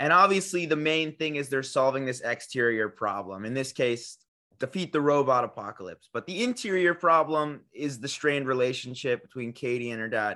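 Talking at a fairly quick pace with hardly any pauses, a man uses a bright, sharp tone, lively intonation, and a fairly high pitch. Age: 20s. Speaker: podcast co-host, college student. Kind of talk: casual chat.

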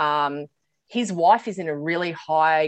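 An Australian accent in a dry, close recording with no echo. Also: woman. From Australia, Sydney. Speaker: business coach. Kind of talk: casual chat.

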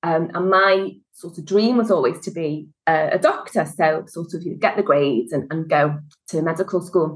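Over music in the background, a woman with a Liverpool accent speaks at a moderate pace and fairly low pitch, with ordinary pitch variation and big swings in loudness. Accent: Liverpool (Scouse). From Liverpool, England. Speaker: HR consultant and business founder. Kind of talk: casual interview.

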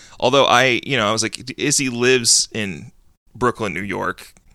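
A playful, bright, sharp tone comes at a fairly slow pace with ordinary pitch variation. The sound is dry and close with no echo, on a very clean recording with a silent background. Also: man. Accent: American. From US South. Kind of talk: casual comedy podcast chat. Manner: joking, playful.

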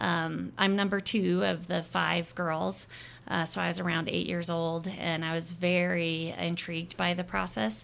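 An ordinary speaking voice with an American accent moves with ordinary pitch variation. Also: woman, fairly low pitch for a woman. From Arizona. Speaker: obstetrician-gynecologist. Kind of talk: interview.

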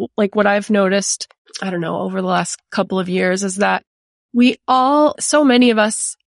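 A woman speaks in an ordinary speaking voice at medium pitch, with ordinary pitch variation and a moderate pace. The sound is dry and close with no echo, and the background is quiet. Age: 40s. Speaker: podcast host. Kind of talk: casual chat.

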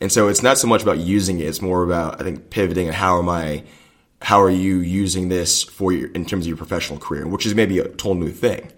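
Speaking at a very fast pace, a man with a very deep, low pitch keeps his intonation fairly even. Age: 30s. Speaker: lobbyist. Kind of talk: interview. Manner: halting.

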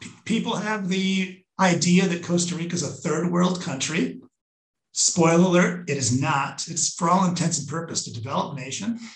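Pitched high, a man talks at a moderate pace with ordinary pitch variation. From Minnesota, US. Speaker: travel company sales manager. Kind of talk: casual interview.

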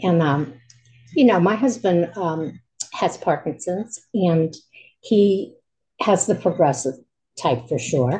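Her voice fairly low, somewhat breathy and dark, mellow in tone, a woman speaks very slowly with lively intonation and long, frequent pauses. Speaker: caller seeking advice. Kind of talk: personal sharing.

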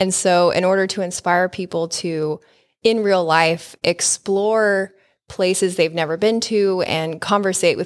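Very clean with a silent background, the recording holds a woman's unremarkable speaking voice at medium pitch and moderate pace, its sound dry and close with no echo. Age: 40s. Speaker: podcast host. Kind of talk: casual chat.

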